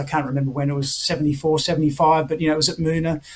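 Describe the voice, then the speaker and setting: A high-pitched man's voice with an Australian accent. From Australia, Melbourne. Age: 60s. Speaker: retired tenpin bowler. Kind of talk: interview.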